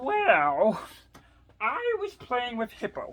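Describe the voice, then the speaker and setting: A woman puts on a character voice, pitched high. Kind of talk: read-aloud picture book. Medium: read story.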